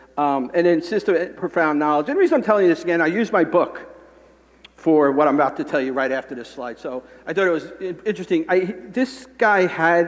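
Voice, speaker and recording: There is noticeable background noise. Through it, a man speaks at a high pitch. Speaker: conference speaker. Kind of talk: conference talk. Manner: fast.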